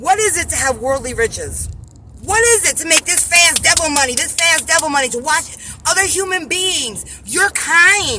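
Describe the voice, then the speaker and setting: Over noticeable background noise, a woman with an extremely high pitch speaks in a raised, projected voice at a moderate pace, her tone animated and her intonation lively. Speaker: religious vlogger. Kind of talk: religious monologue vlog. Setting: in a car.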